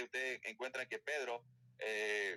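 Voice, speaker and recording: A man with a Colombian accent, a bright, sharp tone and ordinary pitch variation, in a dry, close sound with no echo. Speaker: Bible teacher. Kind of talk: Bible study lecture. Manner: fast.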